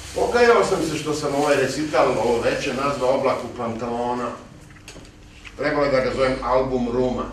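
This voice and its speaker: A man talks at medium pitch, his intonation fairly even, with noticeable background noise around him. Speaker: poetry reciter. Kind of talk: live talk to an audience.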